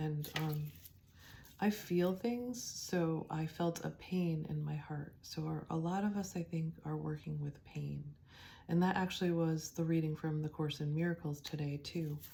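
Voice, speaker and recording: A soft-spoken woman with a very deep, low voice talks at a fairly slow pace. Her tone is dark and mellow, and somewhat breathy. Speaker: tarot and oracle card reader. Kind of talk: spiritual card reading. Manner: soft, quiet; hesitant, many fillers.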